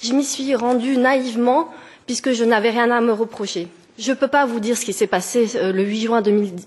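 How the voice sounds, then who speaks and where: Pitch varies in an ordinary way as the speech proceeds at a moderate speed. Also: woman. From France, near German border. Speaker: petitioner. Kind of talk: formal testimony. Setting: parliamentary committee hearing. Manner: halting.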